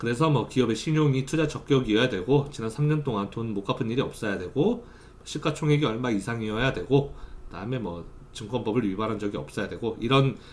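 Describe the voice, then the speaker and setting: In a room with audible echo, a man speaks at a fairly quick pace and medium pitch with ordinary pitch variation. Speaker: university lecturer. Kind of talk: lecture; recorded online class. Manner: fast during lecture.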